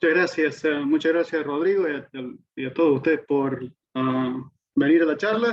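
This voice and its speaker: At a moderate pace, a man with a fairly high pitch speaks using ordinary pitch variation. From Argentina. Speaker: physics professor. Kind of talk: lecture. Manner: halting.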